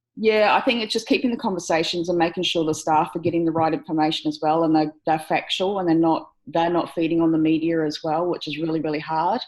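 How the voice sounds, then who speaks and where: A woman with an Australian accent, very fast and with hardly any pauses, fairly low in pitch with ordinary pitch variation. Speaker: aged care worker. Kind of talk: video call discussion. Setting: video call.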